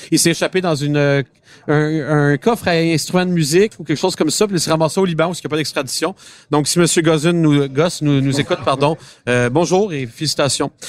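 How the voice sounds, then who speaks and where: Speaking at a fairly quick pace, a man has a plain, everyday voice with a fairly high pitch and ordinary pitch variation. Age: 20s. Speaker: car podcast host. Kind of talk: casual chat. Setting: auto show floor with public.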